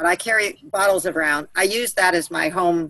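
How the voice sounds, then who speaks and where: A woman speaks at a medium pitch with a bright, sharp tone. The sound is dry and close, with no echo. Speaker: soil and water remediation advocate. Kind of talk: group call discussion. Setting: conference call. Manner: fast.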